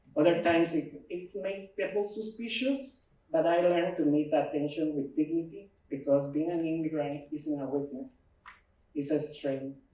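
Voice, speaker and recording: A man talks at a fairly slow pace in a dark, mellow tone. His pitch sits fairly high and varies in an ordinary way. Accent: Ecuadorian. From Ecuador. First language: Spanish. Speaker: immigrant storyteller. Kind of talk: personal testimony speech.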